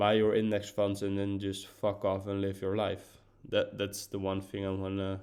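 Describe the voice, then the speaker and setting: A man with a Dutch accent speaks with monotone, flat intonation. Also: very clean recording, silent background. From Netherlands. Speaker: podcaster. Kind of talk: casual monologue. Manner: halting, many fillers and repeats.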